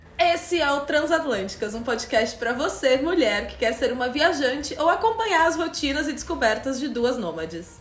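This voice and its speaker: Over background music, a woman speaks at a high pitch with very wide pitch swings. She keeps a moderate pace with hardly any pauses. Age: 30s. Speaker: podcast host. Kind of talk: casual podcast conversation.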